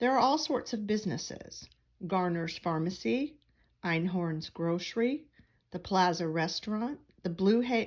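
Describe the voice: This is plain reading aloud. The text is read out as written.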